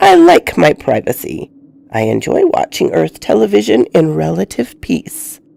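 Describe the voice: In a put-on character voice, a woman speaks at a low pitch and a fairly slow pace, her dark, mellow tone marked by vocal fry and big pitch swings.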